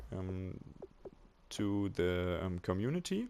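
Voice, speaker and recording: Speaking with a German accent, a man has a fairly low pitch. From Germany. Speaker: video game tutorial maker. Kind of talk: tutorial. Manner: halting, many fillers.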